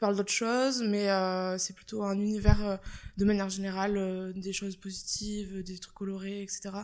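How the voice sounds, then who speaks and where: A medium-pitched woman at a moderate pace, on a very clean recording with a silent background. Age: 20s. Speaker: marketing student and work-study employee. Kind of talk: casual interview. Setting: in person at company office. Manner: casual, hesitant.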